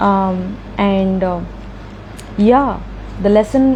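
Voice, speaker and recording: Female speech with clearly audible noise behind it. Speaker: tarot reader. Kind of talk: tarot reading. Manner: animated.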